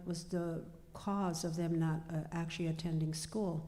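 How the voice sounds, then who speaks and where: A woman with a dark, mellow tone speaks at a moderate pace. Audible room echo surrounds her voice. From US Midwest, Pine Ridge, South Dakota. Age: 70s. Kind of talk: panel discussion. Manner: halting, many fillers.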